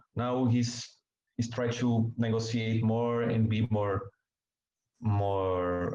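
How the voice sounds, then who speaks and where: A man with a Portuguese accent speaks at a very slow pace in a dark, mellow tone of medium pitch, his intonation monotone and flat. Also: very even loudness. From Brazil. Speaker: journalist. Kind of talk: interview. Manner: halting.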